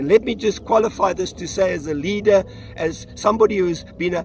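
A man speaks with a dry sound and no echo. Faint music plays in the background. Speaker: pastor. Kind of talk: sermon. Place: waterside.

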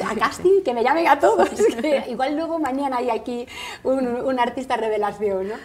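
Noticeable background noise accompanies a woman whose high-pitched voice moves at a moderate pace with ordinary pitch variation. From Spain, Galicia (Vigo). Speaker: actress and radio presenter. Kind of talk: interview. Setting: TV studio.

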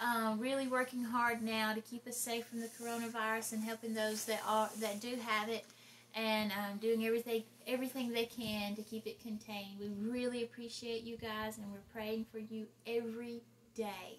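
Speaking at a moderate pace, a woman holds a fairly high pitch with little pitch movement.

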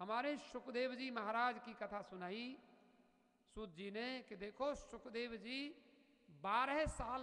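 A man uses a raised, projected voice at an extremely high pitch. He goes very slowly with ordinary pitch variation against a quiet background. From northern India. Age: 50s. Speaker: spiritual teacher. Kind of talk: sermon. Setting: temple. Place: hall. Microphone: studio mic.

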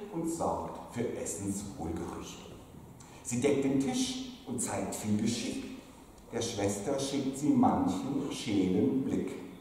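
In a very slow, sing-song, playful voice, a man speaks amid strong room echo and light background noise. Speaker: pastor. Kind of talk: carnival sermon in rhymed couplets (Büttenrede style). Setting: church pulpit. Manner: playful, rhythmic sing-song rhyming delivery with comic timing; jovial, teasing, lively. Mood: humorous, playful. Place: church.

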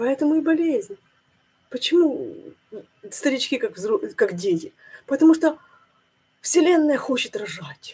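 A woman talks at a fairly slow pace in a high voice with very wide pitch swings. Her tone is dark and mellow, and her pauses are long and frequent. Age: 50s. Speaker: religious video blogger. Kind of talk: monologue sermon-like video blog. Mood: thoughtful, upset. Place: home room. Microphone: webcam.

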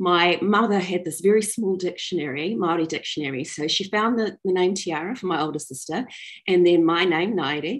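Over a quiet background, a woman speaks at a moderate pace in a fairly low pitch. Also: ordinary pitch variation. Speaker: storyteller. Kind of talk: personal storytelling talk. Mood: warm, smiling. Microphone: video call.

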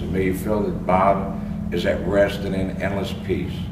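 Through loud background noise, a man speaks at a moderate pace. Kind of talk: funeral prayer and eulogy reading. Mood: solemn, measured. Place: street. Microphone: camera far.

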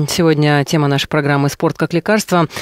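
A man speaks at a very fast pace with a fairly high pitch. The sound is dry with no echo, over a quiet background. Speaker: radio host. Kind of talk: radio interview. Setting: studio. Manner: formal. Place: studio. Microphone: studio mic.

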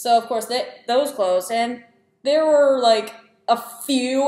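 Audible room echo surrounds the voice. A woman speaks at a high pitch. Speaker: student vlogger. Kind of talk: casual vlog chat. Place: home room. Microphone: webcam.

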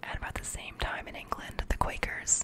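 A soft-spoken woman whispers at a moderate pace over noticeable background noise. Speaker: reader. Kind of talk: reading a textbook aloud with brief asides. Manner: soft close-mic whispered reading. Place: home room. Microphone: studio mic.

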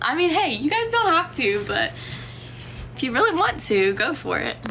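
A woman speaks in a raised, projected voice with very wide pitch swings. Long, frequent pauses break her speech over light background noise. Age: 20s. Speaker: livestreamer. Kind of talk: casual chat. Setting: lying down at home with her dog. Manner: animated. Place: home room. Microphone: phone near.

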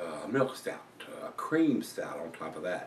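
A man speaks fairly slowly in a room with clear echo and a little background noise. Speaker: beer reviewer. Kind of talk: casual vlog chat. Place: home room. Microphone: camera far.

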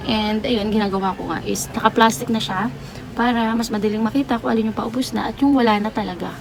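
Over noticeable background noise, a woman talks very fast at a fairly high pitch with ordinary pitch variation. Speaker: sari-sari store owner vlogger. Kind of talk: casual vlog narration.

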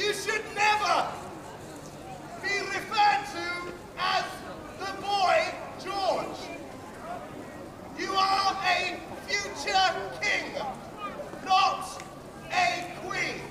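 A man speaks in a raised, projected voice at an extremely high pitch, his intonation flat and monotone. He talks very slowly with long, frequent pauses as a crowd murmurs in the background. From England. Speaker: town crier. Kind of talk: town crier proclamation. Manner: loud, declamatory. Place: street.

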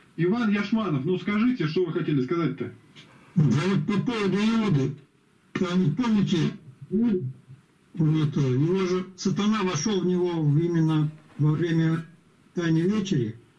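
Fairly slow, high-pitched male voice with a dark, mellow tone, very even loudness and long, frequent pauses. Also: ordinary pitch variation. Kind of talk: group Bible study discussion. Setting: video call. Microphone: video call.

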